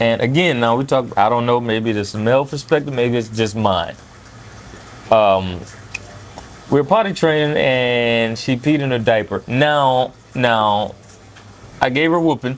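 Against noticeable background noise, a man talks fairly slowly at a medium pitch. He takes long, frequent pauses, and his pitch variation is ordinary. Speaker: food vlogger. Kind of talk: casual chat. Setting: restaurant.

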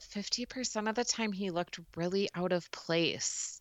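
A woman with a Midwestern US accent. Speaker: podcast co-host, mom. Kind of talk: casual chat.

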